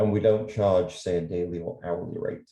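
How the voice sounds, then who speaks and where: With a dark, mellow tone, a man talks in a somewhat breathy voice. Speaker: illustrator and art professor. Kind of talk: virtual presentation. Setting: video call. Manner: fast.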